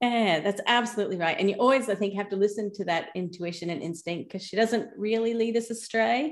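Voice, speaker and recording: In a very clean recording with a silent background, a woman with an Australian accent talks at a fairly quick pace and a medium pitch. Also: ordinary pitch variation, hardly any pauses. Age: 50s. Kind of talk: casual interview.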